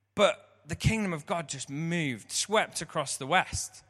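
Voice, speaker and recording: A man with a high voice and an English accent talks fairly slowly in a bright, sharp tone with lively intonation. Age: 30s. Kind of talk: sermon.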